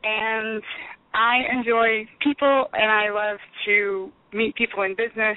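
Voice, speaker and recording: Over noticeable background noise, a woman with an American accent speaks at a fairly high pitch in a monotone with flat intonation. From Texas (Houston, Alvin, The Woodlands). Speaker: business owner. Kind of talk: interview.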